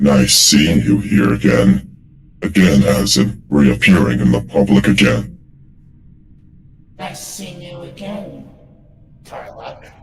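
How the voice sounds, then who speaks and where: A man performs a put-on character voice at a very deep, low pitch. Long, frequent pauses run through his delivery. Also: fairly slow pace. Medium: game stream. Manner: haughty, scolding.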